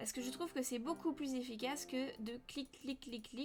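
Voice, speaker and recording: A woman with an unremarkable speaking voice, ordinary pitch variation and a moderate pace. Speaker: 3D modeling teacher. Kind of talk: tutorial.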